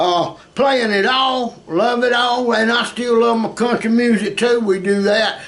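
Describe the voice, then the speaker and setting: A man speaking at a very slow pace, with audible room echo and noticeable background noise. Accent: Southern US. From US South, South Georgia. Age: 60s. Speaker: music teacher and musician. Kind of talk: casual chat.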